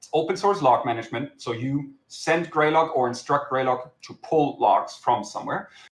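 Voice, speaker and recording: At a moderate pace and with hardly any pauses, a man with a German accent speaks at a fairly high pitch, showing ordinary pitch variation and big swings in loudness. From Germany. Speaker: software company founder and CTO. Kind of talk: conference talk. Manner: hesitant, many filler words.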